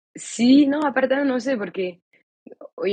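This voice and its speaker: A woman's dark, mellow tone in a French accent, with lively intonation. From France. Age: 20s. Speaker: author and illustrator. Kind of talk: interview conversation. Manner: halting.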